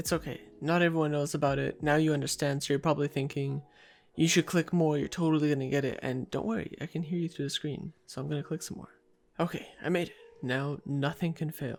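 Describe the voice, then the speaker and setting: In a very clean recording with a silent background, a man speaks very fast with a playful tone and fairly even intonation. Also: fairly high pitch for a man. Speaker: gaming youtuber. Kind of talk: gameplay commentary. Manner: casual, playful.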